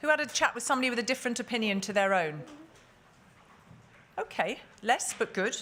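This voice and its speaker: At a very fast pace, a woman projects a raised voice with very wide pitch swings. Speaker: conference moderator. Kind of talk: panel moderation. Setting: conference hall with audience.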